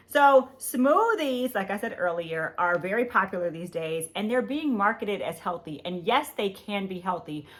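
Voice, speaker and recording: Loud, animated woman at a moderate pace, in a very clean recording with a silent background. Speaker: podcast host. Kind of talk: health podcast monologue.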